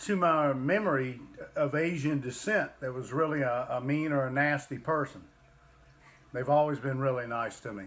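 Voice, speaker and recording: A man with a Southern US accent, fairly high pitch, ordinary pitch variation and a moderate pace. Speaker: livestream co-host, parent. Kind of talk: casual chat.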